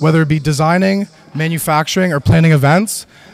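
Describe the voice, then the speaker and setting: A man's fairly quick, fairly even delivery over noticeable background noise. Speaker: student team lead presenter. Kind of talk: presentation. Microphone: echoey microphone.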